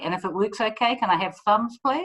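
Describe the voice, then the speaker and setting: A woman's voice in a strong New Zealand accent. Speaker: PR consultant, former army officer. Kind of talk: commencement speech. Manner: fast.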